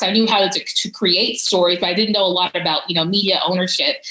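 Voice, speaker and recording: The speaker has an American accent, and noticeable background noise can be heard. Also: woman. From US South, Georgia. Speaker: policy advisor. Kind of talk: conference talk. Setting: virtual conference. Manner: casual, many fillers.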